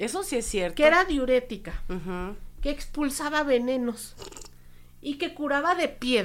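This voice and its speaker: At a fairly slow pace, the speaker uses lively intonation and takes long, frequent pauses. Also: woman, high pitch for a woman. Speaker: podcast co-host. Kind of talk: casual chat.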